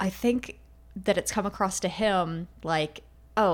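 Simply an unforced reading voice

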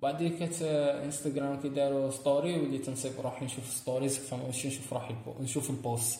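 A man's medium-pitched, monotone, flat delivery with hardly any pauses, amid noticeable background noise and audible room echo. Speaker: podcast co-host. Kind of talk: casual chat.

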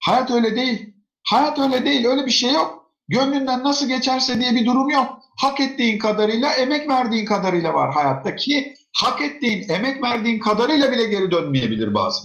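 Loudness stays very even while the pace is moderate and the pitch varies in an ordinary way. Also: man, extremely high pitch for a man. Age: 40s. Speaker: educator and author. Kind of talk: interview. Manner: conversational.

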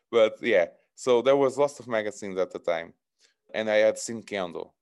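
Recorded very cleanly against a silent background, a man with a Portuguese accent speaks at a moderate pace, leaving long, frequent pauses. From northern Portugal. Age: 30s. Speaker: martial arts instructor. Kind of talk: interview conversation.

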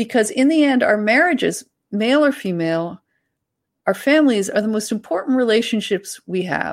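With lively intonation and a fairly high pitch, a woman speaks at a moderate pace in a very clean recording with a silent background. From Canada. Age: 50s. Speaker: author and journalist. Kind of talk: casual interview chat.

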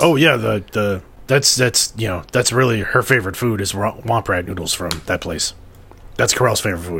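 A man uses a raspy, put-on character voice, fairly low in pitch. He keeps a moderate pace over clear background noise. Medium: actual play. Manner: hesitant, halting, full of fillers.

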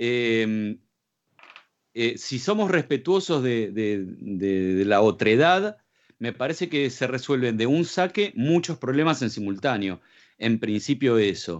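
Very slowly, a man speaks at a medium pitch. His pitch swings very widely. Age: 40s. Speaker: radio co-host. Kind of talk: casual chat.

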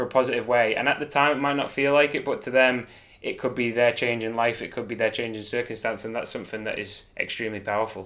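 With a Manx accent, a man talks at a very fast pace in a bright, sharp tone with fairly even intonation. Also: medium pitch for a man. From Isle of Man. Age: 30s. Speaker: professional cyclist. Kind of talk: interview.

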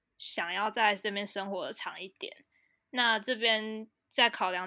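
A woman speaks with a bright, sharp tone. The recording is very clean, with a silent background. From Taiwan. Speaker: graduate student and language account creator. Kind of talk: casual interview chat. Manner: halting, many fillers.

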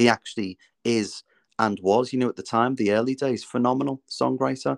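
Spoken in a Liverpool accent at a moderate pace, with fairly even intonation. The sound is dry and close with no echo, over a quiet background. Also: man. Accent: Scouse. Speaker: musical theatre performer. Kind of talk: interview.

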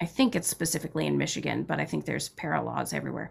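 In a very clean recording with a silent background, a woman speaks with vocal fry. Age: 30s. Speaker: PhD student and union organizer. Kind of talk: casual chat.

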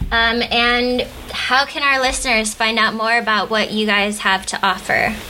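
Noticeable background noise sits under speech that moves at a moderate pace, with fairly even intonation and very even loudness. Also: woman, fairly high pitch for a woman. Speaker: podcast co-host.

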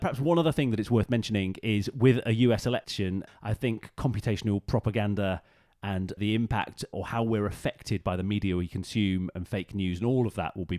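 On a very clean recording with a silent background, a man with a fairly low pitch and ordinary pitch variation comes through dry and close with no echo. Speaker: podcast co-host. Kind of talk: casual chat. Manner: animated, playful.

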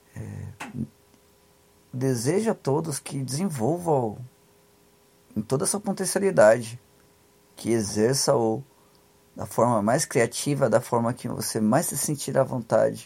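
The somewhat breathy speech is broken by long, frequent pauses. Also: man, medium pitch for a man. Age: 30s. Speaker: podcast host, social commentator. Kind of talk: solo commentary monologue. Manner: halting, many fillers and repetitions.

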